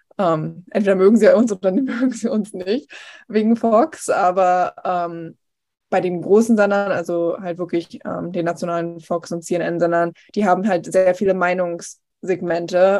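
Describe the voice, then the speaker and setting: A woman with a plain, everyday voice speaks at a medium pitch. Her pace is fairly slow and her intonation fairly even. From eastern Germany, Potsdam. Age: 20s. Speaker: TV news reporter. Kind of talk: casual interview.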